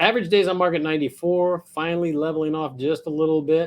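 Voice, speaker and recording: Against a quiet background, a man with an American accent speaks at a moderate pace. He has a normal speaking voice, fairly high in pitch. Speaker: real estate agent. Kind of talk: market update vlog. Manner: casual.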